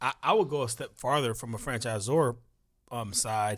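Recorded very cleanly against a silent background, a man with a normal speaking voice talks at a moderate pace, with a medium pitch and ordinary pitch variation. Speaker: podcast host. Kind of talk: interview chat.

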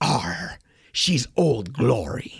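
Raspy and medium-pitched, a man performs a put-on character voice. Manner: playful, jokey.

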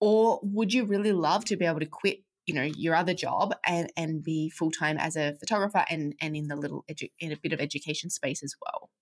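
A woman speaks in an ordinary speaking voice at a fairly low pitch with ordinary pitch variation. Her pace is fairly quick with hardly any pauses, and the sound is dry and close with no echo. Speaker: podcast host. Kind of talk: podcast interview.

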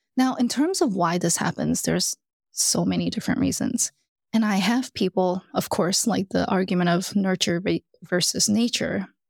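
Vocal fry at a moderate pace, ordinary pitch variation, and a dry, close sound with no echo. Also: woman. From US South, Alabama. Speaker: executive coach. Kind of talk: interview. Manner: animated.

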